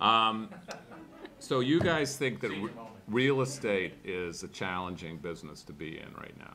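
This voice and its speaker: A man talks at a moderate pace with lively intonation. There is audible echo in the room. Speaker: business executive, conference panelist. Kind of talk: panel discussion talk. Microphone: speaking without a microphone.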